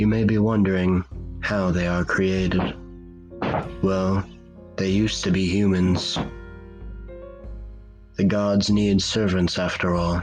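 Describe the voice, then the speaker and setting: With music in the background, a man with a very deep, low pitch speaks at a very slow pace in a monotone, flat intonation, with very even loudness and long, frequent pauses. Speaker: horror story narrator. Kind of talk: cosmic horror story narration.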